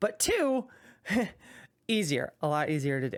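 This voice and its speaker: A woman speaks in an animated tone with very wide pitch swings. Her pace is moderate. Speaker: gaming YouTuber. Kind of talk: casual talking-head monologue. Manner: stuttering, many ums.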